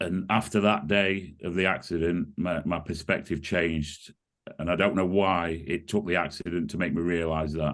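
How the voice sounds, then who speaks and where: Over a quiet background, a man with a very deep, low pitch speaks at a moderate pace with fairly even intonation. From UK. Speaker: course participant giving testimonial. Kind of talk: testimony. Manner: halting.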